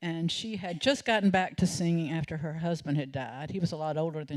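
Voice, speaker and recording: With a Southern US accent, a woman of fairly low pitch talks at a very fast pace with ordinary pitch variation. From US South, North Carolina (Salisbury). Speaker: storyteller. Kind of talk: storytelling performance. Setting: stage with audience.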